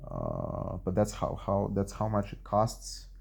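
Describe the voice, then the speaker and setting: At a fairly slow pace, a man speaks with a dark, mellow tone and fairly low pitch. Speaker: vlogger telling personal experience. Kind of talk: casual monologue, personal storytelling. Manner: halting, many fillers and repetitions.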